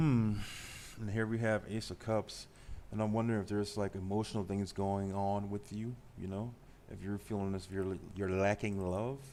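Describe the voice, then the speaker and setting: At a moderate pace, a man speaks in a fairly low, flat monotone. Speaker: tarot reader. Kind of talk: live tarot reading. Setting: live stream.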